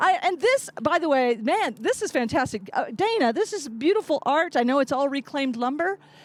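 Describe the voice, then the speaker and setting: Against noticeable background noise, a woman talks at a fairly quick pace with hardly any pauses. Her high-pitched voice is animated, with very wide pitch swings. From Ozarks, US. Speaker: comedian. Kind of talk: stand-up.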